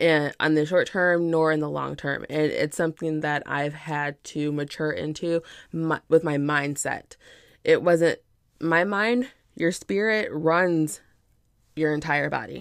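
On a very clean recording with a silent background, a woman with a very deep, low pitch and ordinary pitch variation speaks in an animated tone at a fairly slow pace. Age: 30s. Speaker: podcast host and fashion entrepreneur. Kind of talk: casual solo podcast monologue.

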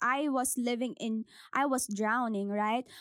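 In a very clean recording with a silent background, a woman speaks at a fairly slow pace with a high pitch and ordinary pitch variation, the sound dry and close with no echo. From Philippines. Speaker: podcast host. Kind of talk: faith-based motivational talk. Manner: code-switching English and Tagalog.

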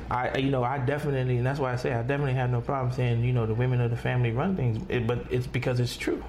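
In an American accent, the speaker goes at a very fast pace with fairly even intonation and very even loudness, against noticeable background noise. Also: man, medium pitch for a man. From New York. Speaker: family member interviewed about Haitian identity. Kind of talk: interview testimony.

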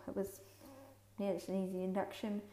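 Noticeable background noise sits behind the voice. A woman speaks at medium pitch in a New Zealand accent. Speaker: podcaster sharing birth story. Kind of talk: personal story monologue.

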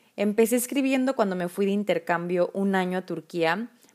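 Recorded very cleanly against a silent background, a woman with a Mexican accent speaks at a medium pitch with ordinary pitch variation. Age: 20s. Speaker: podcast host. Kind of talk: casual monologue. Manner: informal, laughs often.

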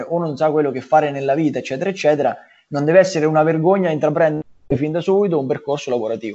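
A man with a fairly high pitch for a man. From Marche, Italy (small village). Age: 20s. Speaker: pizzeria entrepreneur. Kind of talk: casual interview chat. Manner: halting, many repetitions and fillers.

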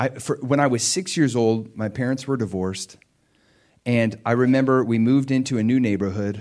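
A man talks at a fairly quick pace with ordinary pitch variation in a very clean recording with a silent background. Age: 40s. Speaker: pastor. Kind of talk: sermon. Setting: church. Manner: animated.

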